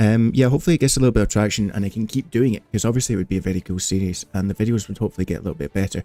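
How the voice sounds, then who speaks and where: With a Scottish accent, a man speaks very fast, hardly pausing, in a fairly low pitch. His tone is dark and mellow, and his pitch varies in an ordinary way. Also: dry, close sound with no echo. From Scotland. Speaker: gaming streamer. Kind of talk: live stream chat.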